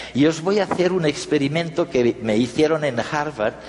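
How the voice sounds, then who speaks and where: Through noticeable background noise, a man's fairly high-pitched voice rises and falls in an ordinary way. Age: 70s. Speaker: conference speaker. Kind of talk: talk to an audience.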